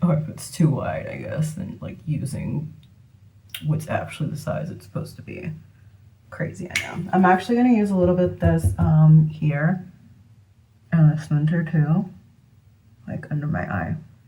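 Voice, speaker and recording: The speech moves at a moderate pace with long, frequent pauses and big swings in loudness, and there is audible room echo. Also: woman. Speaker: beauty vlogger. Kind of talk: makeup tutorial. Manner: casual, chatty with fillers; whispering at moments.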